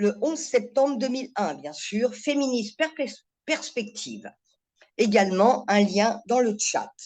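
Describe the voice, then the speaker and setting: A woman speaks very slowly in a fairly high voice, her intonation lively. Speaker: webinar host. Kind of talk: formal introduction. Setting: webinar video call.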